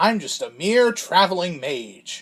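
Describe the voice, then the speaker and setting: This cartoonish character voice sits at a middle pitch and goes at a fairly slow pace. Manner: casual, cheerful.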